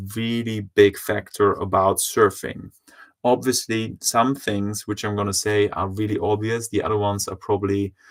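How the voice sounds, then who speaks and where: The speaker talks at a moderate pace with monotone, flat intonation. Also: man. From France. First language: French. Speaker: surf coach. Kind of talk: live online workshop. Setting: livestream. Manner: halting, many fillers.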